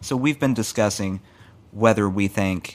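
A man's fairly low-pitched, normal speaking voice, with ordinary pitch variation and a fairly slow pace. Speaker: podcast co-host. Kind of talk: casual chat.

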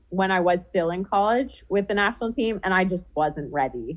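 A woman's voice at a medium pitch. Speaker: professional footballer. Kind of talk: casual chat. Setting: video call. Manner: loud.

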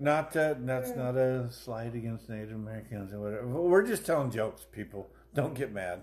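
With noticeable background noise behind him, a man speaks at a moderate pace and a medium pitch. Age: 40s. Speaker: podcast host. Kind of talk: casual chat. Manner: animated.

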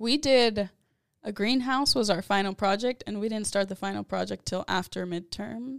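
A woman's plain, everyday voice with an American accent, medium pitch, ordinary pitch variation and a moderate pace, on a very clean recording with a silent background. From San Antonio, Texas. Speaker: architecture student. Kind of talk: casual chat.

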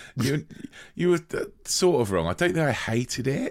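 Very wide pitch swings in a British accent at a moderate pace, on a very clean recording with a silent background. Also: man. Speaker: podcast co-host. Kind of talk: casual chat, film review.

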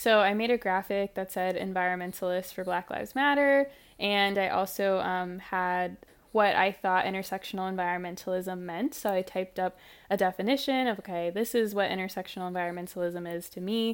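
A woman with an American accent and a plain, everyday voice, medium in pitch with ordinary pitch variation, in a very clean recording with a silent background. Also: fairly quick pace. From US Midwest, St. Louis area (Ferguson, Missouri). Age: 20s. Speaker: environmental activist. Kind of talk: interview conversation.

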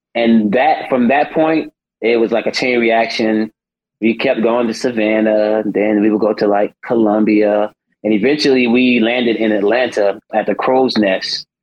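With an American accent, a normal speaking voice moves at a moderate pace, with fairly even intonation and very even loudness. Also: man, medium pitch for a man. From South Carolina. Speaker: singer on a TV talent show. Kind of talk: casual interview chat.

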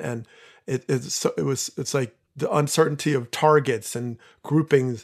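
Against a quiet background, a man speaks with an American accent. His pitch is fairly high, with ordinary pitch variation. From New Jersey. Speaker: former baseball player and professor. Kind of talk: casual chat. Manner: halting, many fillers.

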